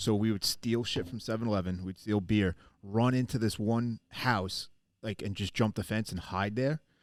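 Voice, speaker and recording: On a very clean recording with a silent background, a man with a Long Island accent talks at a fairly low pitch. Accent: Long Island New York. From Long Island, New York. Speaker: podcast co-host. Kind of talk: casual chat. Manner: animated.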